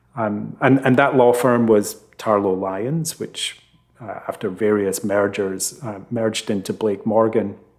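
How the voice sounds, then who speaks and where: Speaking in a Scottish accent, a man keeps a fairly slow pace, a fairly low pitch, and fairly even intonation. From Scotland, Fife. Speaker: legal tech executive. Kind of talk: interview.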